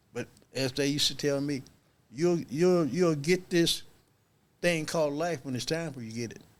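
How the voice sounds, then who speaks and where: Pausing long and often, a man speaks at a moderate pace and a fairly high pitch, with ordinary pitch variation and big swings in loudness. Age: 60s. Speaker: addiction treatment worker. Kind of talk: casual chat.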